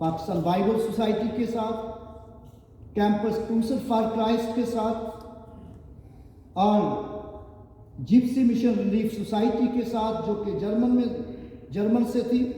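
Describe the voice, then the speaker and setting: With audible room echo and noticeable background noise, a man speaks in a high pitch with monotone, flat intonation and long, frequent pauses. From Pakistan, Punjab (Sahiwal, Vehari). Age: 60s. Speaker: pastor. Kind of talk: sermon.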